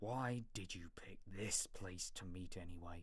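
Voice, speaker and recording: Gruff, growling put-on character voice from a man, very deep and low in pitch, at a fairly slow pace. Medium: read story.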